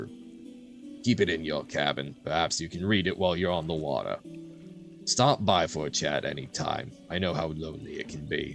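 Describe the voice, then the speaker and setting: Clear music plays in the background as a man does a gruff, put-on character voice at a moderate pace. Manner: reading aloud.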